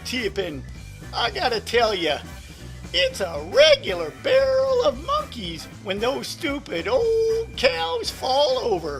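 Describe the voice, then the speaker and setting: A man puts on a cartoonish character voice and speaks at a very slow pace. Clear music plays in the background. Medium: puppet.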